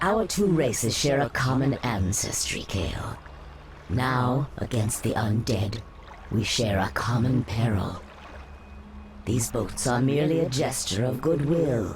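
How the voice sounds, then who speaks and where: Over clear background noise, a put-on character voice speaks at a fairly slow pace in a low-to-middle pitch. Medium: short film. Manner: smooth, persuasive.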